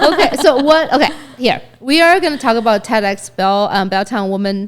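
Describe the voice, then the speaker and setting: Animated in tone, a woman speaks at a moderate pace with a fairly high pitch and lively intonation. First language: not English. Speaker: podcast co-host. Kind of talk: casual interview chat.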